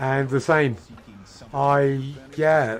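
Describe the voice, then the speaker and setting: A man speaks with an English accent. His pitch shows ordinary variation. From England. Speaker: video game streamer. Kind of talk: casual chat.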